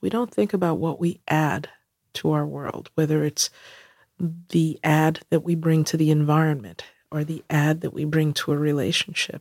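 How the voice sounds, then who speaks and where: A woman with a New York accent speaks at a very deep, low pitch. Her pace is moderate and her pitch variation ordinary. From New York City (Queens). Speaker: corporate diversity executive. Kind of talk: interview conversation.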